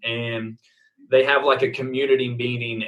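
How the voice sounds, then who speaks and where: The voice has an Oklahoma accent. The pace is moderate. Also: man. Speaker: baseball coach. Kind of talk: interview answer. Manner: casual, hesitant fillers.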